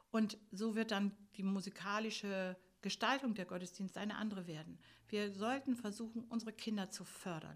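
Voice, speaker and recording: A woman with an unremarkable speaking voice talks at a moderate pace and medium pitch. Her intonation stays fairly even. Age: 60s. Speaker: music school teacher. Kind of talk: interview.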